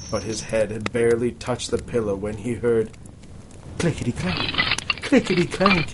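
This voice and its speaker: A man's voice over noticeable background noise. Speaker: podcast host. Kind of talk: ghost story reading aloud by candlelight; casual comedic banter. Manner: dramatic, hushed storyteller delivery, building suspense.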